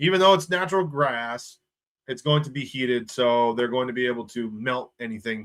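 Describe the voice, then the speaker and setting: A man at medium pitch sounds animated, with lively intonation. His pace is fairly quick. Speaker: sports YouTuber. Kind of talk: live stream chat reading viewer comments. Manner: animated, casual.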